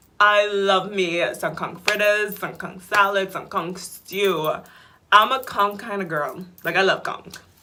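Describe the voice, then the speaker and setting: Fairly slow speech from a woman at a medium pitch, with audible room echo. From Bahamas, Nassau. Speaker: vlogger. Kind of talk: casual vlog chat.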